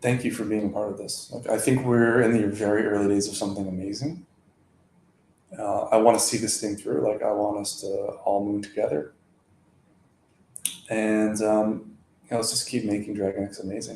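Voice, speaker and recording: Talking at a moderate pace with long, frequent pauses, a man keeps a fairly even intonation at a fairly low pitch. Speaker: crypto community livestreamer. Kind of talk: casual livestream chat. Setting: livestream.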